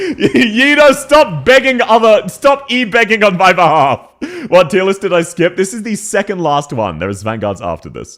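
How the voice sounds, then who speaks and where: A man with a high pitch speaks at a moderate pace with very wide pitch swings and big swings in loudness over noticeable background noise. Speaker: streamer. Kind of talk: casual chat. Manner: animated.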